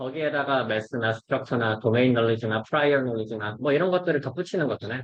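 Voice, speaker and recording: A man talks at a fairly quick pace. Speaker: robotics researcher presenting seminar. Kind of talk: academic seminar lecture. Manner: fast.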